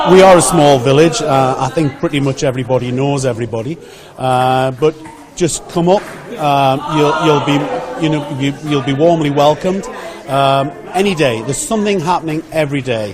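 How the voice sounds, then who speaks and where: The speaker has a Geordie accent and a moderate pace with ordinary pitch variation. Noticeable background noise is present. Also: man, fairly high pitch for a man. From north-east England (Geordie). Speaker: village hall volunteer. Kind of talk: radio interview. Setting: village hall.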